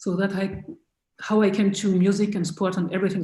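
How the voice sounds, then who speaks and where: A woman with a French accent speaks at a medium pitch. Her somewhat breathy voice has a dark, mellow tone. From France. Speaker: choir director and musicologist. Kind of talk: interview. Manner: halting.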